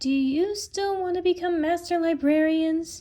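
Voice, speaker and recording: A woman does a put-on character voice that is squeaky and extremely high in pitch. Her intonation stays fairly even. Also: moderate pace. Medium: read story. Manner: calm, gentle.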